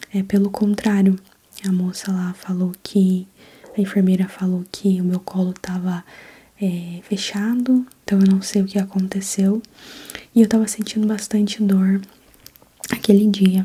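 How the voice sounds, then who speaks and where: A soft-spoken woman talks at a fairly slow pace in a gentle, relaxed tone with monotone, flat intonation. She leaves long, frequent pauses, and there is noticeable background noise. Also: medium pitch for a woman. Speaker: ASMR content creator and new mother. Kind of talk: ASMR personal storytelling, birth story told casually. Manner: soft, gentle, relaxed.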